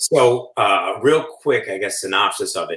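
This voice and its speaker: A man speaks with a New York accent. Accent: New York (Staten Island). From Staten Island, New York. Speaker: food shop owner. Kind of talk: casual chat.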